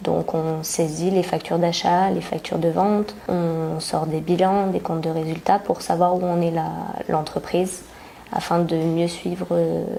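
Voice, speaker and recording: Noticeable background noise sits behind a woman's fairly low voice. Her pace is fairly slow and her intonation fairly even. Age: 20s. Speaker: work-study accounting student. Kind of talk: testimony. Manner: hesitant with fillers.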